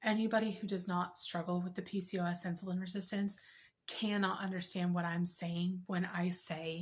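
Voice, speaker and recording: Somewhat breathy, a woman of medium pitch talks at a moderate pace with a monotone, flat intonation. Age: 30s. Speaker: health vlogger. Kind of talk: personal testimony vlog.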